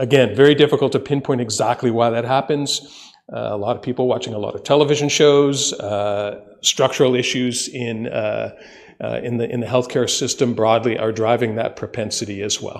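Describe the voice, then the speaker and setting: A man with an ordinary speaking voice talks at a moderate pace in a medium pitch with fairly even intonation. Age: 60s. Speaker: ambulance service consultant. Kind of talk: presentation to council. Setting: council meeting.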